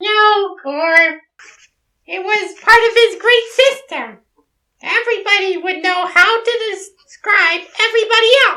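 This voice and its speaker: A squeaky put-on character voice at an extremely high pitch and a fairly slow pace. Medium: audio drama. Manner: patient, gently wry.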